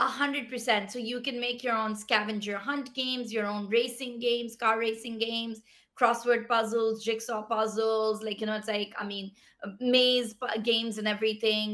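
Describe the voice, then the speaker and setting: A woman's fairly high voice in a Pashto accent, monotone and flat, at a moderate pace against a quiet background. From Pakistan. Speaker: tech startup founder. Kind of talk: interview. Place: home room.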